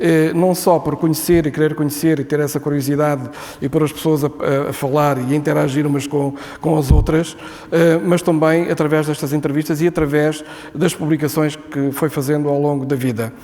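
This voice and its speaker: There is noticeable background noise as a man talks at a moderate pace. His fairly high voice stays monotone and flat. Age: 70s. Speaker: book presenter. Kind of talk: public speech at book launch. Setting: book launch event with audience. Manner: hesitant, many fillers.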